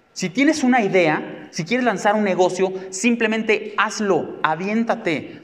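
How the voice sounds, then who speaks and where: A man with a high pitch and an animated tone, fairly slow pace, hardly any pauses, and ordinary pitch variation, over noticeable background noise. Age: 40s. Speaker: psychotherapist and speaker. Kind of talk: talk to a live audience.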